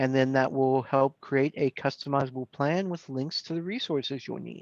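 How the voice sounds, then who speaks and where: A man with a fairly high pitch and an ordinary speaking voice talks at a moderate pace with fairly even intonation. The sound is dry and close with no echo, and the background is quiet. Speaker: volunteer cookie program coordinator. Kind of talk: online training presentation.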